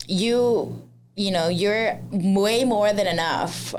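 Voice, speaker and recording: Amid audible room echo, a woman speaks very slowly at a medium pitch with ordinary pitch variation. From Laos. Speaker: chef and social media creator. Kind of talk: casual interview. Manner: loud, flamboyant.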